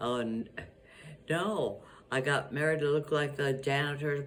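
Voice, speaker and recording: A woman's very deep, low voice in audible room echo, very slow with long, frequent pauses, fairly even intonation and very even loudness. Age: 80s+. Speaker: grandmother. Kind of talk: interview. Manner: halting.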